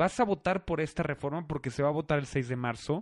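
Against a quiet background, a man talks fairly quickly with lively intonation at a fairly high pitch. The sound is dry and close, with no echo. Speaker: podcast host. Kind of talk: casual chat.

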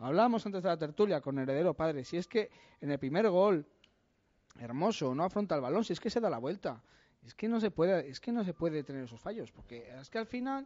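A man with a high pitch, very wide pitch swings and big swings in loudness at a fairly quick pace, over a quiet background. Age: 30s. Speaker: football pundit. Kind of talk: casual chat.

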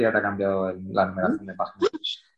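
A man rattles off his words at a very fast pace. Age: 40s. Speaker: novelist. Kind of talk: interview. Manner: halting.

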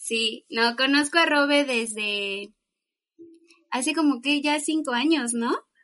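This woman has a high pitch and a bright, sharp tone, with ordinary pitch variation. She talks at a very slow pace. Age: 20s. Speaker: psychologist. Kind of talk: casual chat.

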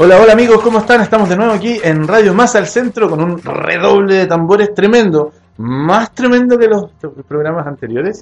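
Over noticeable background noise, a man with a high pitch speaks at a fairly quick pace with ordinary pitch variation. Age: 30s. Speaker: radio DJ and host. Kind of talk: casual chat. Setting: studio.

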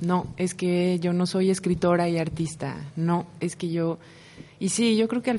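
Speaking at a moderate pace, a woman with a fairly low pitch talks in a Mexican accent. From Mexico City. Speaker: visual artist and writer. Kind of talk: radio interview.

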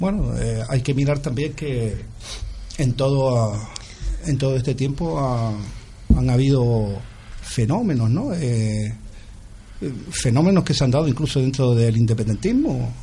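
Audible room echo surrounds a man with a medium pitch and ordinary pitch variation. He leaves long, frequent pauses. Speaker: writer, singer-songwriter and political activist. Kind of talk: interview.

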